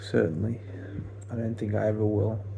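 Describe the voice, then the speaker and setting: Audible room echo surrounds a man's fairly low, monotone voice with flat intonation. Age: 20s. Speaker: vlogger. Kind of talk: casual monologue. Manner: slow; halting.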